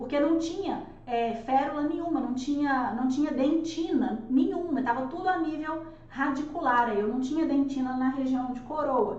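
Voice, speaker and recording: A woman talks loudly at a moderate pace, her high voice showing ordinary pitch variation. Audible room echo and noticeable background noise are present. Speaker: dentist teaching dental courses. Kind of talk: live online lecture.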